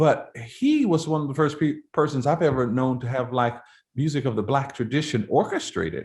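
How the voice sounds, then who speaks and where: Somewhat breathy, a man speaks at a moderate pace and fairly high pitch with ordinary pitch variation. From Florida. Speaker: composer and choral conductor. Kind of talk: interview. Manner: conversational, with frequent fillers and restarts.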